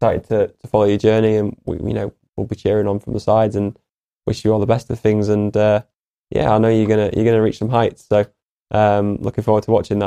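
Talking at a very fast pace, a man with a fairly low pitch and a dark, mellow tone keeps a monotone, flat intonation in a dry, close sound with no echo. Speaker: podcast co-host. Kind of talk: podcast interview. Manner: halting, repeats words.

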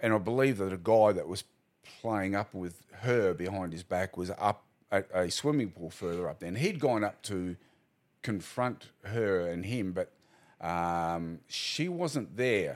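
On a very clean recording with a silent background, a man with an Australian accent speaks at a fairly slow pace and a fairly low pitch. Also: ordinary pitch variation. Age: 60s. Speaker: retired police officer. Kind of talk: casual interview.

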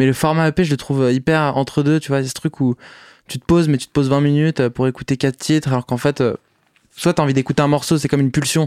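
A man talks at a very fast pace in a flat monotone, the sound dry and close with no echo. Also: fairly high pitch for a man. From Paris, France. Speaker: musician. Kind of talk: casual interview. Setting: recording studio.

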